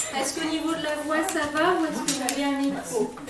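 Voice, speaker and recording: With a Réunion accent, a woman speaks slowly-ish at a fairly slow pace and a high pitch, amid audible room echo and noticeable background noise. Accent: Réunion Creole. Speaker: poet and association president. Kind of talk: event welcome speech. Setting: library event with live audience.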